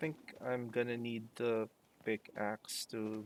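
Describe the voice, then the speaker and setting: Speaking with a non-native accent, a man uses a medium pitch and fairly even intonation. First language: not English. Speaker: let's play streamer. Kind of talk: gameplay commentary. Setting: live stream. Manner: many pauses and fillers.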